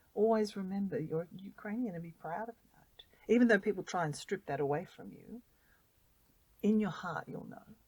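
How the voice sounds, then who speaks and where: This voice has an Australian accent and a somewhat breathy quality. It moves at a moderate pace with ordinary pitch variation. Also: woman, medium pitch for a woman. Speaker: volunteer. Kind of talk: interview. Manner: animated.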